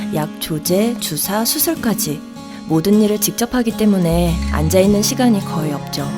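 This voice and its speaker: Music is in the background while a woman talks fairly slowly. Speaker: voice actor. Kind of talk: TV commercial read. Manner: natural.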